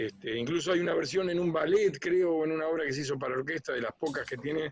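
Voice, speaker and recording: At a very fast pace, the speech shows ordinary pitch variation. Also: man. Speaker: musician and arranger. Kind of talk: interview. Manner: hesitant, many fillers.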